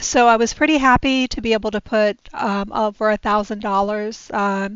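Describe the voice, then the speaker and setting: At a moderate pace, a woman speaks with a fairly high voice and fairly even intonation. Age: 60s. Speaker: personal finance vlogger. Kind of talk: casual budgeting vlog. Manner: hesitant, many fillers.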